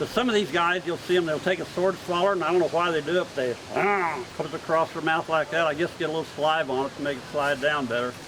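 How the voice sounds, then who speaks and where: Very fast speech comes from a man with a fairly high pitch. His pitch varies an ordinary amount over noticeable background noise. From California. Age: 70s. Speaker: sword swallower and stage performer. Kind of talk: live performance patter. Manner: folksy joking showman.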